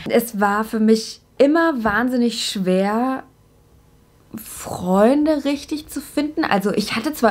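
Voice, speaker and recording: An animated tone with ordinary pitch variation, over noticeable background noise. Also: woman. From Germany, Upper Franconia (Bavaria). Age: 20s. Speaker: YouTuber, TV presenter. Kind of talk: casual to-camera introduction vlog.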